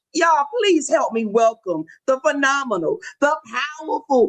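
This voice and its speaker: Speaking at a fairly slow pace, a woman uses an animated tone with very wide pitch swings. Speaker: gospel show host. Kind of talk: live show introduction. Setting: livestream.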